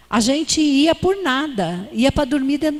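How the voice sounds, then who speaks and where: A woman speaks at a fairly slow pace. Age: 60s. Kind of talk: conference talk. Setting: church.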